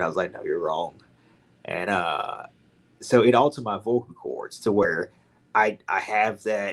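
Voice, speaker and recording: A man with a Louisiana accent and a fairly low pitch. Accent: Southern US (Louisiana). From Louisiana, Baton Rouge. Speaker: hunter and animal caller. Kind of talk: podcast interview storytelling. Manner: casual, hesitant with fillers.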